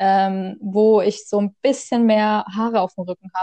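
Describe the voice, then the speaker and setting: A woman speaks at a very slow pace, medium in pitch, with ordinary pitch variation. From Saxony, Germany. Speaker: podcast co-host. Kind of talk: casual chat. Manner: halting.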